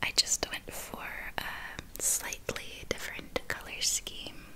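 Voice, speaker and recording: A woman whispering at a very slow pace. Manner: soft-spoken ASMR murmur. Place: home room.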